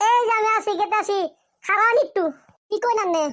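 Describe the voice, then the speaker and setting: A squeaky, put-on character voice from a woman, extremely high-pitched, fairly quick, with fairly even intonation. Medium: cartoon. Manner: voluble, emotional.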